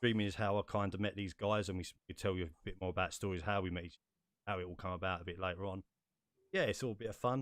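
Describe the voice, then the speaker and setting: Delivered at a very fast pace with fairly even intonation, this is a very clean recording with a silent background. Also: man, very deep, low pitch for a man. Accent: English. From England. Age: 30s. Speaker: podcast host. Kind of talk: casual chat.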